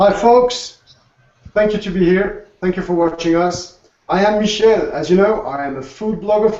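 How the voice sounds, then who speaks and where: Here a man talks with a high pitch. His pace is moderate. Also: ordinary pitch variation. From Alsace, France. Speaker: food blogger and co-host. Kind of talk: presentation.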